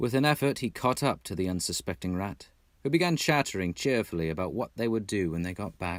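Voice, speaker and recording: With an American accent, a man talks at a fairly quick pace in a very deep, low pitch with ordinary pitch variation, recorded very cleanly against a silent background. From Texas. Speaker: audiobook narrator. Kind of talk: audiobook reading.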